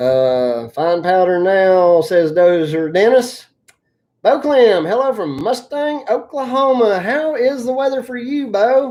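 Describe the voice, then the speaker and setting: The voice has a strong Appalachian accent and a dark, mellow tone. It moves at a very slow pace through very wide pitch swings. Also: woman. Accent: very thick Appalachian. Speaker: excavation business owner and YouTuber. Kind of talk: live stream Q&A. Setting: live stream.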